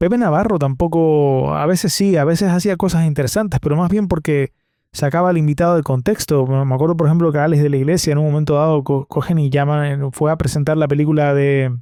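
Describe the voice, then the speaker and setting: On a very clean recording with a silent background, a man speaks with a Canarian accent at a fairly quick pace. His voice is fairly high in pitch, with a dark, mellow tone and fairly even intonation. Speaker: podcast host. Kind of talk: solo podcast monologue. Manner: hesitant, many fillers and repetitions.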